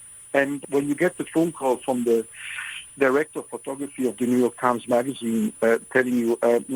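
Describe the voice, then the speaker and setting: This man has a non-native accent and a medium pitch. His intonation stays fairly even. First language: not English. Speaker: photographer. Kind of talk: radio interview. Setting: radio studio.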